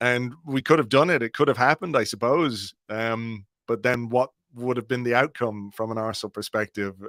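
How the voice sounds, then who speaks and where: A man speaks in a plain, everyday voice at medium pitch with ordinary pitch variation and a moderate pace, recorded very cleanly against a silent background with a dry, close sound and no echo. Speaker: football podcaster and blogger. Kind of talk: casual chat.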